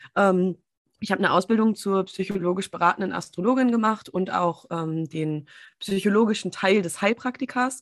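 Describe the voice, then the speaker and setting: A woman with a normal speaking voice talks at a moderate pace, medium in pitch with ordinary pitch variation. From Germany, small town. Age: 30s. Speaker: business and empowerment coach. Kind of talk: casual interview. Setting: video call.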